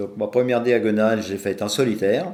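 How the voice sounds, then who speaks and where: A dark, mellow tone at a fairly slow pace. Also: man. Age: 70s. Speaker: long-distance cyclist, club president. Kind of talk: podcast interview. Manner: hesitant, many fillers.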